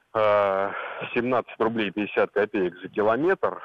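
A man at a very slow pace, medium in pitch. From Moscow region, Russia. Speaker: caller. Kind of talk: phone-in comment. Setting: phone call. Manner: opinionated.

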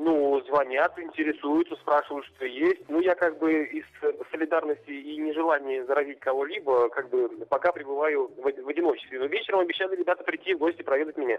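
A man's fairly high voice moves along at a fairly quick clip, its intonation fairly even, with noticeable background noise behind it. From Russia, Orsk. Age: 30s. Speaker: contest winner. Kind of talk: phone interview. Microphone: line dropping out.

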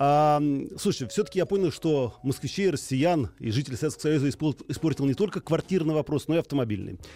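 Talking at a very fast pace, a man with a fairly high pitch and a dark, mellow tone uses lively intonation. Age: 40s. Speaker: radio host. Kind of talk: radio call-in show. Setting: studio.

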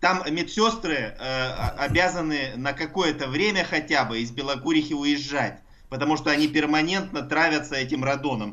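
A man with a plain, everyday voice speaks at a moderate pace. His pitch is fairly high, with ordinary variation. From Russia, Altai. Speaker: university professor of engineering. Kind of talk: explanatory radio interview.

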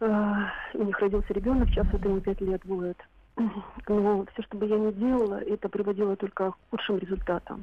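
Noticeable background noise runs under the speech. The delivery is flat and monotone at a fairly quick pace. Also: woman, medium pitch for a woman. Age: 50s. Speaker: radio caller. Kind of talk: personal account on a call-in show. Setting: phone call.

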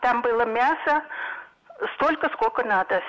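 A woman talks in a high voice against noticeable background noise. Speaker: caller. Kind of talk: phone-in comment. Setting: phone call.

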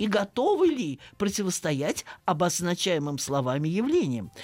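A woman's fairly slow speech with very wide pitch swings and vocal fry. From Russia, Saratov. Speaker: philology professor. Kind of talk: radio interview.

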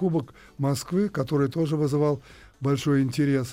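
A man talks with a fairly high pitch at a moderate pace. The tone is dark and mellow. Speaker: retired ice hockey player. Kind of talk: interview. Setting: studio. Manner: halting.

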